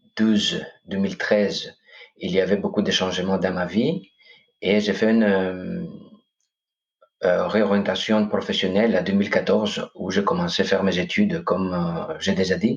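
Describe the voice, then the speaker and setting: Speaking at a moderate pace with a slight Greek accent, a man leaves long, frequent pauses. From Greece, Corfu. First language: Greek (speaking French). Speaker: coach and hypnotherapist. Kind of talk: podcast interview. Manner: hesitant, many fillers.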